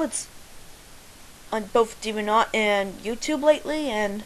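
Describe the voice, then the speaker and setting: At a fairly slow pace, a woman talks in a fairly high voice with ordinary pitch variation. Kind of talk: casual voice meme answers. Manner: hesitant, stalling.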